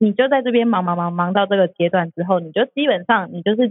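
A woman has a normal speaking voice at medium pitch with ordinary pitch variation. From Taiwan, outside Taipei. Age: 30s. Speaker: food podcast host. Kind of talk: casual chat.

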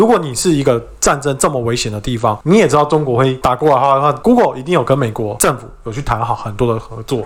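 In a Taiwanese accent, a man talks very fast with hardly any pauses and ordinary pitch variation. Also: medium pitch for a man. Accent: Taiwanese Mandarin. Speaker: podcast co-host. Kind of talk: casual chat.

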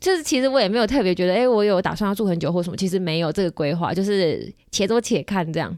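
A woman speaks at a very fast pace with lively intonation and hardly any pauses. The recording is very clean and the background silent. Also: medium pitch for a woman. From Kaohsiung, Taiwan. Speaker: podcast host. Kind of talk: casual chat. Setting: studio.

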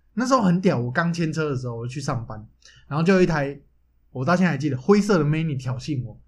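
An animated, somewhat breathy man's voice at a fairly high pitch, very fast pace and lively intonation. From Taiwan. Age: 20s. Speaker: podcast co-host. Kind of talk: casual chat. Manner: animated, frequent laughter.

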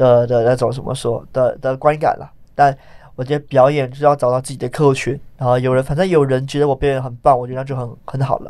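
A man's very fast, monotone delivery with flat intonation, a dark, mellow tone and big swings in loudness. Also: medium pitch for a man. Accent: strong Malaysian. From Malaysia, Johor. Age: 20s. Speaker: stand-up comedian. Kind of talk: interview.

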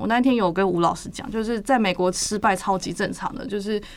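A woman's unremarkable speaking voice at medium pitch with fairly even intonation. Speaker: graphic designer. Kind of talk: casual chat.

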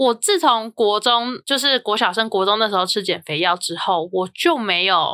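Her voice fairly high, bright and sharp, a woman speaks at a moderate pace with hardly any pauses in a very clean recording with a silent background. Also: lively intonation, dry, close sound with no echo. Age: 30s. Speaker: podcast host. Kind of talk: casual chat.

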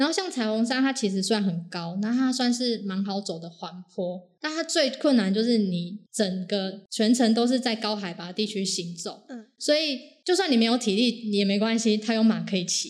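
At a moderate pace, a woman with a normal speaking voice talks with lively intonation and a fairly high pitch. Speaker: hiking enthusiast sharing overseas climbing experience. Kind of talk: casual interview chat.

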